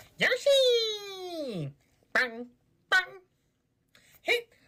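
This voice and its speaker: This put-on character voice is squeaky and extremely high, with very wide pitch swings. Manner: excited, shouting.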